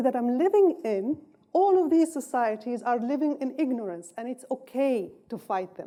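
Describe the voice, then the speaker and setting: In an Arabic accent, the voice has a dark, mellow tone and very wide pitch swings. The pace is moderate. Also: woman. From North Yemen. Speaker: political science professor. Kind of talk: lecture.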